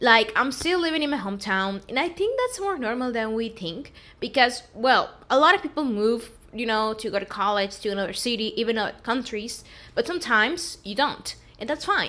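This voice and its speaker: A woman talks at a fairly quick pace with lively intonation. Her voice is fairly high and has a bright, sharp tone. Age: 20s. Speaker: vlogger and recent college graduate. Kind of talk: casual vlog talk to camera. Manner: casual, conversational.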